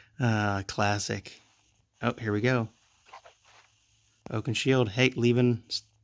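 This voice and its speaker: A soft-spoken man talks at a fairly slow pace with medium pitch. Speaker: gaming video creator. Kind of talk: gameplay commentary. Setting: at home late at night. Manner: halting.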